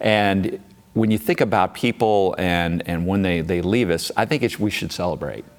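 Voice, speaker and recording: A man talks in an ordinary speaking voice at a moderate pace, fairly low in pitch with ordinary pitch variation. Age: 60s. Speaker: college athletics director. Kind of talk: interview.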